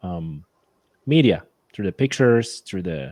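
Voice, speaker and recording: A man speaks at a fairly slow pace in a very deep, low pitch and a dark, mellow tone, with lively intonation. The recording is very clean, with a silent background. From Poland. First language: Polish. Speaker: hunter and conservation enthusiast. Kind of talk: casual interview chat.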